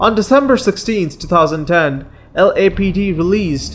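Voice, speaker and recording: The speech keeps a moderate pace. Noticeable background noise is present throughout. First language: not English. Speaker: true crime narrator. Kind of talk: scripted narration; casual outro.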